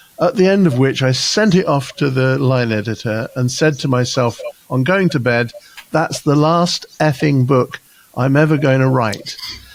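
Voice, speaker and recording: Against noticeable background noise, a man of medium pitch talks at a moderate pace with very even loudness. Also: ordinary pitch variation. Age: 70s. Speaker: executive coach and author. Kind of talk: interview. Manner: halting.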